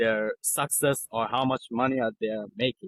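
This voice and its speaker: With a non-native accent and ordinary pitch variation, a man speaks in a dry, close sound with no echo. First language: not English. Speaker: copywriter. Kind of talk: interview. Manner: halting.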